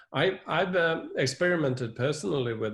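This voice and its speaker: The man's voice is somewhat breathy. He keeps a moderate pace, and his pitch varies in an ordinary way. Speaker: professor. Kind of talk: interview. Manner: halting.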